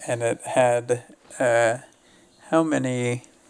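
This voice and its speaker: With an American accent, a man speaks at a medium pitch and fairly even intonation over noticeable background noise. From US South. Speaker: sports commentator. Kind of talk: live commentary. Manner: casual, conversational.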